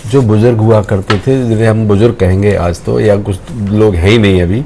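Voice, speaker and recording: In a normal speaking voice, a man talks at a fairly low pitch with ordinary pitch variation. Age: 60s. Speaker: political panelist. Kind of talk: televised panel debate.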